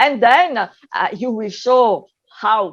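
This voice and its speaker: A woman with an Italian accent and a fairly high pitch speaks at a fairly slow pace against a quiet background. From Italy. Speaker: retail advisor, panelist. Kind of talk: panel discussion. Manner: halting, many fillers.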